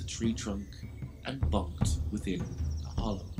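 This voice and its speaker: Very slow speech plays with music in the background. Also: man. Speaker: author reading his own book. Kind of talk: children's rhyming story narration.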